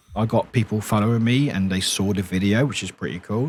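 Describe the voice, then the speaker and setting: Speaking at a fairly quick pace with ordinary pitch variation, a man with a British accent comes through on a very clean recording with a silent background. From England, Southampton. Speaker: streamer. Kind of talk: casual chat. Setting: live stream. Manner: halting.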